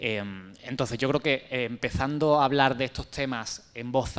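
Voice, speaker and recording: Intonation stays mostly level. The voice belongs to a man. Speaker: panel speaker on LGBTI health. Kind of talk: panel discussion. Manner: fast.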